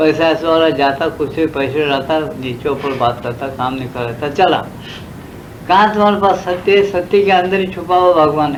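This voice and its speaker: With audible room echo and noticeable background noise, a man speaks at a fairly high pitch with ordinary pitch variation. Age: 70s. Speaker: spiritual teacher. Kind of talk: spiritual discourse. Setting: satsang gathering. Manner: conversational, repetitive.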